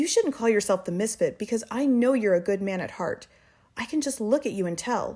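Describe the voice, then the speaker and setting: Shrill and put-on, this character voice moves at a fairly quick pace with lively intonation. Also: woman, fairly high pitch for a woman. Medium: read story. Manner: shrill, pleading.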